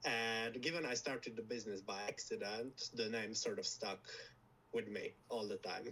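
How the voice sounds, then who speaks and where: A man speaks with a Slovak accent. His pace is moderate. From Slovakia. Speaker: lab founder. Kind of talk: interview. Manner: halting.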